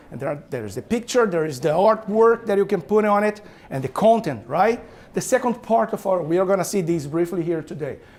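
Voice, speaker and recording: A man with a non-native accent speaks at a high pitch. His intonation is lively and his pace fairly quick. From Brazil. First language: Portuguese. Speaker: author and business owner. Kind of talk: talk to an audience. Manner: animated.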